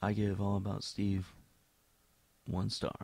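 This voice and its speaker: Very deep and low in pitch, a man speaks at a fairly slow pace with a monotone, flat intonation. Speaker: amateur film reviewer. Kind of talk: reading written film reviews. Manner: near monotone.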